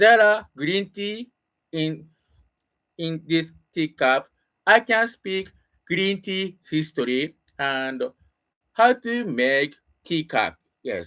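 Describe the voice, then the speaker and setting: Speaking very slowly with a Japanese accent, the speaker leaves long, frequent pauses. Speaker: English learner. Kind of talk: casual monologue. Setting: home room. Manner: halting.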